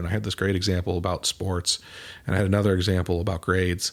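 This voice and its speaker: A man with a Midwestern US accent speaks at a very fast pace in a very deep, low voice with fairly even intonation. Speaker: mental performance coach, podcast host. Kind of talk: podcast monologue. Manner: casual, conversational with occasional stumbles.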